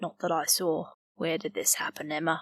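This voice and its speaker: A raspy, put-on character voice at a moderate pace, with monotone, flat intonation. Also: woman. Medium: read story.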